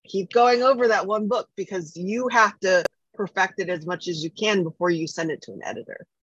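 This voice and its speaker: A woman with a medium pitch and an ordinary speaking voice speaks at a fairly quick pace with ordinary pitch variation, the sound dry and close with no echo. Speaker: podcast co-host. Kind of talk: casual chat.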